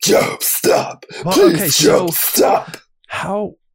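A put-on character voice comes out raspy and fairly high. Its pace is fairly slow. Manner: anguished, fearful.

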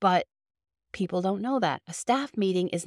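A woman with a Boston accent speaks at a moderate pace and a fairly low pitch, the sound dry and close with no echo in a very clean recording with a silent background. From Boston, Massachusetts. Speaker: childcare center owner and podcast host. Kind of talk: solo podcast monologue, informative business advice. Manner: friendly, conversational.

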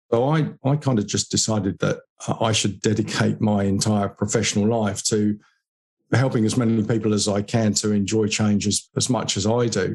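With a southern English accent, a man speaks at a moderate pace in a fairly low voice. His intonation stays fairly even and his loudness very even. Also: very clean recording, silent background. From southeast England. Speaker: business consultant on adaptability. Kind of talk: interview conversation. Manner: repeats words, hesitant fillers.

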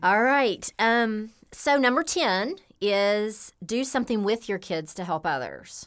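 In a Tennessee accent, the speaker uses lively intonation at a very slow pace. The recording is very clean, with a silent background. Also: woman, fairly high pitch for a woman. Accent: Southern US (Tennessee). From US South, Memphis, Tennessee. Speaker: podcast host and coach. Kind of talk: casual chat.

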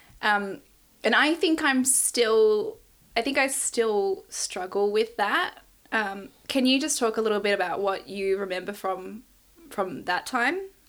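A woman with an Australian accent, fairly high pitch, lively intonation and a fairly slow pace, on a very clean recording with a silent background. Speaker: podcast host and memoir author, daughter. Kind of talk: casual interview chat with her mother.

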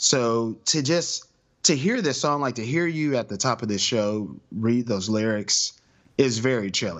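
Lively intonation marks this man's a plain, everyday voice. His pitch is medium and his pace fairly slow. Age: 30s. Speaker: podcaster. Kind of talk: casual chat.

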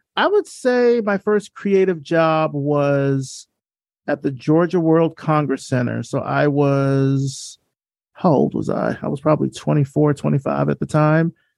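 The speaker has an American accent and talks at a fairly slow pace. The sound is dry and close, with no echo. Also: man. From US South, Selma, Alabama. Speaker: designer and podcaster. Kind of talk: casual interview conversation.

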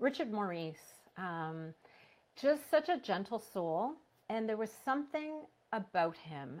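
Very slowly, a woman talks at a fairly high pitch with very wide pitch swings. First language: non-English. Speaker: teacher librarian and author. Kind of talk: casual interview. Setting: video call.

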